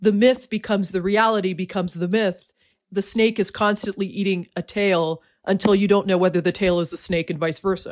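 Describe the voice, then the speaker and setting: A woman with a plain, everyday voice, medium in pitch, at a fairly quick pace with fairly even intonation. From Canada. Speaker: true crime writer and editor. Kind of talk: interview conversation.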